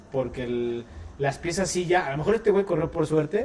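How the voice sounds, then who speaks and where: A man with a fairly high voice talks at a fairly quick clip over noticeable background noise. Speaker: car enthusiast co-host. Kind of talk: casual chat.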